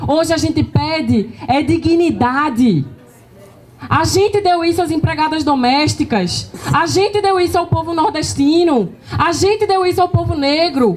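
Speaking at a fairly slow pace, a woman uses a high pitch, lively intonation and an animated tone, with very even loudness. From Pernambuco, Brazil. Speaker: party leader; panelist. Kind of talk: political speech at panel event. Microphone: handheld.

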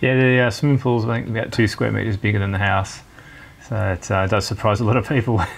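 A man with a fairly low pitch talks very fast, his intonation fairly even throughout. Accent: Australian. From Australia. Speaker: homeowner. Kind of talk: home tour interview. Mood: relaxed, proud. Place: home room. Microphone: lapel.

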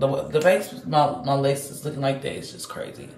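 Audible room echo and light background noise surround a woman speaking at a moderate pace. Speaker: vlogger. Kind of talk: casual vlog chat. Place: home room. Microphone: phone near.

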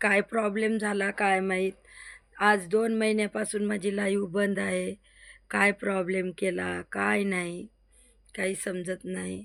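The recording is very clean, with a silent background. A woman talks at a medium pitch. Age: old. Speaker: YouTuber. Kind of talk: vlog to viewers.

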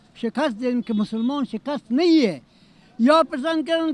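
A man speaks at an extremely high pitch with lively intonation. The recording is dry, with no echo. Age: 80s. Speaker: senior citizen interviewee. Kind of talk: street interview answer. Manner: impassioned, broken grammar. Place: street. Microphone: handheld.

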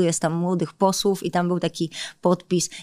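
A woman with an unremarkable speaking voice talks at a medium pitch and moderate pace, with a dry sound with no echo and a quiet background. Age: 30s. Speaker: politician. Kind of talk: interview. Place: studio. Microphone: studio mic.

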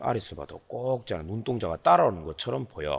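The man's pitch swings very widely. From South Korea. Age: 40s. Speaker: father teaching his child. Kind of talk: lesson for a child. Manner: halting, many fillers.

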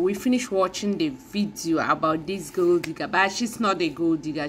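Over light background noise, a woman talks at a moderate pace with a fairly low pitch and lively intonation. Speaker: reaction video creator. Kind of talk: casual vlog commentary. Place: home room. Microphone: phone near.

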